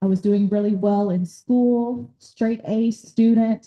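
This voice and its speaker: A woman's dark, mellow voice with a Southern US accent. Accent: US South (Tennessee). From Nashville, Tennessee. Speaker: doctor and workshop speaker on ADHD. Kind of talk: talk at a community workshop. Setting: workshop room with live audience. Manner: loud.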